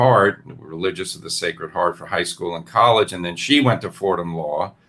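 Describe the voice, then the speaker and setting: A man with a New York accent talks at a moderate pace in a very deep, low pitch. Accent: New York American. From New York (Brooklyn, Westchester County). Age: 60s. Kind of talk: interview. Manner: halting.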